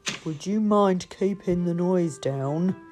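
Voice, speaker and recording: A put-on character voice that sounds female growls at a middle pitch and a fairly slow pace, with clear music in the background. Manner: polite but growling, irritated.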